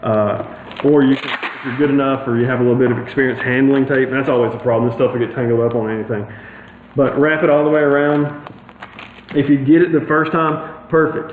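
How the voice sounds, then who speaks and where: Noticeable background noise and audible room echo surround a man speaking at a fairly quick pace. His pitch is fairly high, with fairly even intonation. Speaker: HVAC installer giving DIY tips. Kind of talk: tutorial. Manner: fast.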